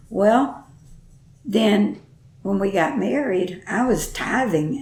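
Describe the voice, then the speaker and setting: A woman with an American accent speaks at a very slow pace in a medium pitch, with lively intonation. Room echo is audible. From Texas. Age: 80s+. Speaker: grandmother interviewed about her life. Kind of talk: oral history interview. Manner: halting.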